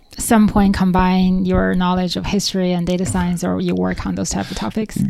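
A woman speaks with a Chinese accent. Her pace is moderate. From China. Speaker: podcast host, data scientist. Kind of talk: casual interview.

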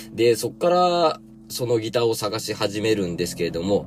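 At a moderate pace, a man speaks in a fairly low pitch. His pitch swings very widely. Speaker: podcast host and gardener. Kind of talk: casual chat. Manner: chatty, filler-heavy.

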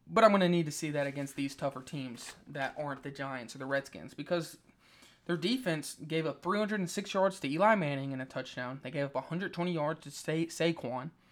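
On a very clean recording with a silent background, a man with an American accent and a plain, everyday voice talks at a fairly quick pace and fairly high pitch with ordinary pitch variation. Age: young. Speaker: sports podcast host. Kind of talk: solo sports commentary podcast. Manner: casual, many fillers.

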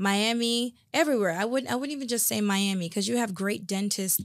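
On a very clean recording with a silent background, a woman with an ordinary speaking voice talks at a fairly quick pace, her intonation fairly even. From South Florida (West Palm Beach), Jamaican-born. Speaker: hairstylist and salon owner. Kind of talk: casual interview. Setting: studio.

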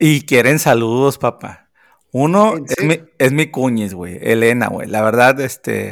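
A man talks in an ordinary speaking voice at medium pitch, fairly slowly and with lively intonation. The recording is very clean, with a silent background. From Sonora, northern Mexico. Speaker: podcast co-host, film commentator. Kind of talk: casual chat.

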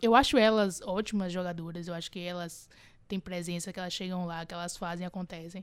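On a very clean recording with a silent background, a woman talks at a fairly quick pace and fairly low pitch, her intonation fairly even but her loudness swinging widely. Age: 20s. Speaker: podcast co-host. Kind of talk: casual chat. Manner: halting.

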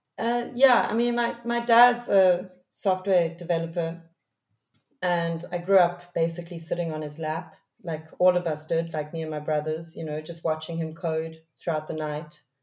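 A woman's fairly low-pitched, unremarkable speaking voice at a moderate pace, with ordinary pitch variation. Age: 30s. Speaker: music producer. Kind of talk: casual chat.

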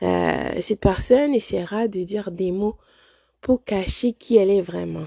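Her delivery is fairly slow. The audio is dry and close-miked, free of any echo. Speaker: podcast host. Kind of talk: motivational monologue. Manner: hesitant, many fillers.

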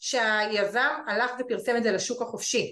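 At a moderate pace, a woman speaks with a high pitch and fairly even intonation over a quiet background. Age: 40s. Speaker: real estate investment advisor. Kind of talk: webinar presentation. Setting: online webinar.

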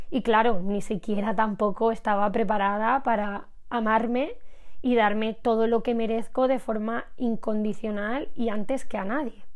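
With audible room echo around her, a woman speaks in a fairly high pitch with fairly even intonation. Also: fairly slow pace. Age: 20s. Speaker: podcast host, personal development creator. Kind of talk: personal monologue, intimate confessional. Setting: recording at home. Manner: hesitant, frequent repetitions.

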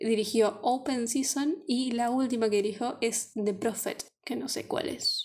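A woman with a Rioplatense accent speaks at a fairly slow pace, with hardly any pauses. Her pitch is high, with ordinary pitch variation. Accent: Argentine Spanish (rioplatense). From Argentina. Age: 20s. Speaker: podcast co-host. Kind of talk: casual chat.

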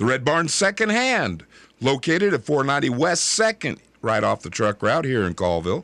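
Vocal fry runs through a man's fairly high voice as he speaks at a moderate pace with very wide pitch swings. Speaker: radio host. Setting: radio studio, live broadcast. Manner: brisk, friendly, rhythmic repetition of numbers.

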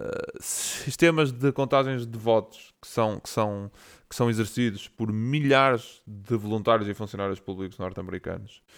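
On a very clean recording with a silent background, a man in a normal speaking voice talks at medium pitch and a moderate pace, with ordinary pitch variation and big swings in loudness. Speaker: podcast co-host. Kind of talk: casual chat.

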